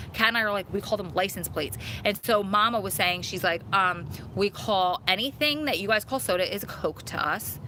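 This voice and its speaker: A woman with a medium pitch talks in an animated tone with lively intonation. Her pace is fairly quick, with noticeable background noise. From Long Island, New York, then New Jersey. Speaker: live-stream host, prison wife. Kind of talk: casual chat. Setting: outdoors.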